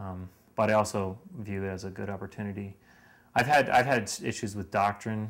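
Speaking with an American accent, a man uses a fairly low pitch, fairly even intonation and a moderate pace. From Lancaster, Pennsylvania, US; Pennsylvania. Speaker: university student; interviewee. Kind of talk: interview. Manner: halting, with frequent repetitions and fillers. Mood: reflective, earnest. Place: home room. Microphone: headset.

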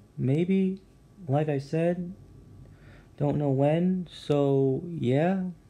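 A loud man speaks very slowly, leaving long, frequent pauses. His fairly high voice has a dark, mellow tone and fairly even intonation. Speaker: gaming YouTuber. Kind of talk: casual gameplay commentary. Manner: halting, many fillers; trying to speak loudly.

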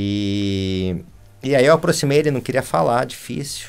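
A man with a Brazilian accent speaks at a moderate pace. His fairly low voice has lively intonation. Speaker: animation film director; interview guest. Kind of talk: interview conversation. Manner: halting. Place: studio.

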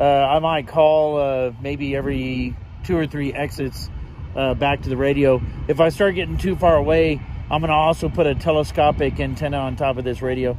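A man with a normal speaking voice and an American accent speaks at a moderate pace, fairly high in pitch with fairly even intonation, in a dry sound with no echo and light background noise. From Texas, San Antonio. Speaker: ham radio hobbyist YouTuber. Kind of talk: casual vlog and two-way radio field test. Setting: driving in a car; outdoors at an overlook. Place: open country. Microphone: phone near.

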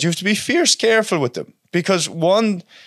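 A man with a Cork accent, animated in tone and fairly quick. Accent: Irish, Cork. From Ireland (West Cork). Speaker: welder and subcontractor. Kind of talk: casual chat. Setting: studio with microphones. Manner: animated, heavy swearing.

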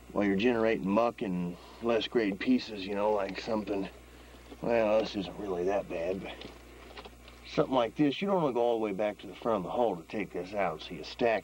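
This is a normal speaking voice: a man with a fairly low pitch, ordinary pitch variation and a fairly quick pace, whose loudness swings widely, recorded dry with no echo over light background noise. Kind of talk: tour commentary. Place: tunnel cave. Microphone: old recording.

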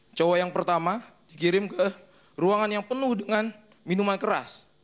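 Pitch varies in an ordinary way while the delivery holds a moderate pace. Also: man, high pitch for a man.

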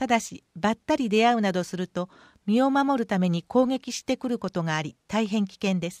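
A woman with a plain, everyday voice speaks at a moderate pace. Her intonation is lively. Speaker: municipal newsletter reader. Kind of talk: reading aloud.

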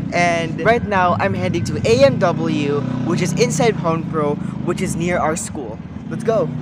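Against loud background noise, a man speaks at a fairly slow pace with ordinary pitch variation. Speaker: student vlogger. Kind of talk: casual vlog chat. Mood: excited, upbeat.

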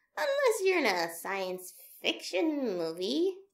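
A female-sounding voice puts on a character voice. Her pitch is medium and her pace fairly slow. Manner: nervous, hesitant.

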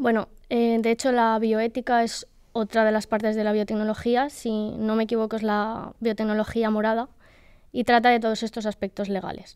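A woman with a fairly high pitch and monotone, flat intonation, at a moderate pace against a quiet background. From Spain, Valencian Community (Benidorm). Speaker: PhD student in nanoscience. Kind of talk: casual interview. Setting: studio. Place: hall. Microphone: studio mic.

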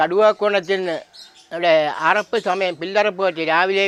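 Heard through noticeable background noise, this man has a high pitch and fairly even intonation. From Kerala, Kattakada (Thiruvananthapuram). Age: 70s. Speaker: traditional blacksmith. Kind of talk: interview. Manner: halting.

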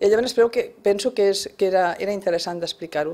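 Speaking at a very fast pace, a woman has a dark, mellow tone and ordinary pitch variation. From Barcelona (Sant Andreu), Catalonia; Catalonia, Spain. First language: Spanish (speaking Catalan). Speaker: first-time novelist, retired bank worker; interviewee. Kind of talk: radio interview. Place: studio. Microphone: studio mic.

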